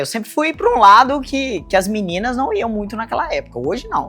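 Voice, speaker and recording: The voice carries a Minas Gerais accent. Its tone is relaxed. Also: woman. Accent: Minas Gerais (mineiro). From Brazil, Minas Gerais (Belo Horizonte). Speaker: business consultant. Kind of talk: personal life story to camera. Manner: relaxed, conversational.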